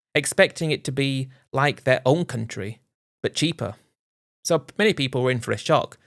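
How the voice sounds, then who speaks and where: A man with a plain, everyday voice and an American accent speaks at a fairly quick pace with medium pitch and ordinary pitch variation, in a very clean recording with a silent background. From United States. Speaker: expat narrator. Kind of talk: narrated personal account.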